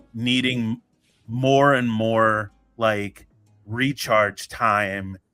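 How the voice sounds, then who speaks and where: A man's medium-pitched voice, flat and monotone, dry and close with no echo, music playing behind. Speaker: podcast host. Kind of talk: casual podcast conversation.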